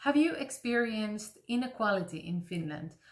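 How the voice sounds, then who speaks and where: With a Greek accent, a woman speaks at a moderate pace, her voice somewhat breathy and her intonation lively. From Greece, Athens. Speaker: classical voice teacher. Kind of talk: casual talk to camera.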